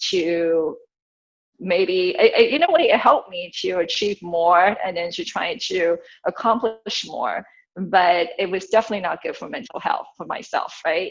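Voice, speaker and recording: Here a woman talks at a moderate pace and a medium pitch. Her pitch varies in an ordinary way. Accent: non-native. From immigrated to US at thirteen. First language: not English. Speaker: family law attorney. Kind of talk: interview conversation.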